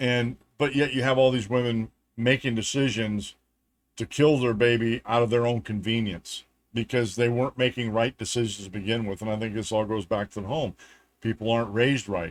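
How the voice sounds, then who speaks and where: Fairly quick and fairly even in intonation, the voice carries an American accent. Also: man, medium pitch for a man. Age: 60s. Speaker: political talk show host. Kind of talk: opinion monologue. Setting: home studio. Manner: emphatic, with frequent fillers and restarts.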